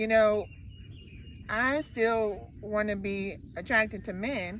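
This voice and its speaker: Audible room echo around a woman's medium pitch and fairly even intonation. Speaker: camper with a tracheostomy. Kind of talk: casual interview.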